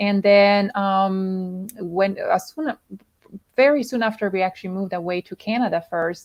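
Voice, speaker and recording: A woman speaks in a Swiss Italian accent. Her pace is fairly slow. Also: medium pitch for a woman, ordinary pitch variation. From Italian-speaking Switzerland. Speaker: health and emotional coach. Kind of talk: interview. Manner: halting, many fillers.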